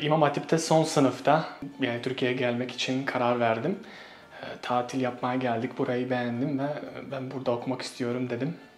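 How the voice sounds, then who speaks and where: Noticeable background noise and audible room echo surround a man with a medium pitch who speaks with a Bosnian accent and fairly even intonation. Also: moderate pace. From Bosnia and Herzegovina. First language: Bosnian (speaking Turkish). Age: 20s. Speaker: Turkish language teacher. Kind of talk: interview. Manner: hesitant with fillers.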